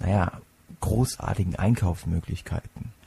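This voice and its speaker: Somewhat breathy and very deep, a man's low voice moves at a fairly slow pace with ordinary pitch variation. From Palatinate, Germany. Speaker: podcast host, psychology student. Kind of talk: solo podcast monologue.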